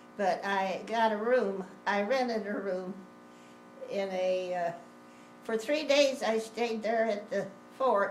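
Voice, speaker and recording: A woman speaks at a very slow pace in a medium pitch with ordinary pitch variation, with music playing in the background. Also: long, frequent pauses. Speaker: grandmother. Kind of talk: family storytelling interview. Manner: hesitant, rambling.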